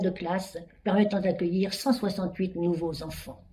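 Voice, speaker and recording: A woman's dark, mellow tone, somewhat breathy. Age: 80s+. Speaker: charity president. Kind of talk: prepared speech.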